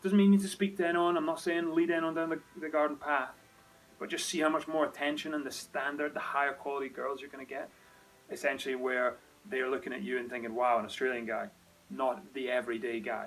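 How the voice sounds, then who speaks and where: Speaking very fast with a Scottish accent, a man uses a fairly high pitch and ordinary pitch variation against noticeable background noise. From Scotland. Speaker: dating coach, lifestyle vlogger. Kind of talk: advice monologue to camera. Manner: casual, conversational.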